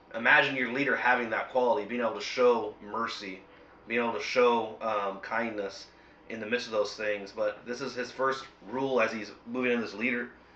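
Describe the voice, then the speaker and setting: A man with a medium pitch talks at a fairly quick pace in a monotone with flat intonation. Audible room echo and noticeable background noise fill the recording. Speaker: bible study host. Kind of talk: bible study discussion.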